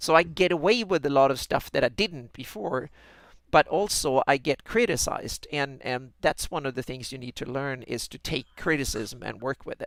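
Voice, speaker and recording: A man with a Swedish accent, lively intonation, big swings in loudness and a moderate pace, on a very clean recording with a silent background. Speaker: fantasy mapmaker and podcast co-host. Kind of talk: casual chat. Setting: live stream. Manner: halting, many repeated words.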